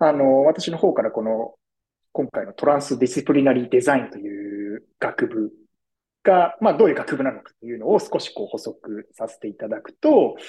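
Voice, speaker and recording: Big swings in loudness mark a man's speech, which moves at a moderate speed. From Tokyo, Japan. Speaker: design futurist. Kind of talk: podcast interview. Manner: polite, formal.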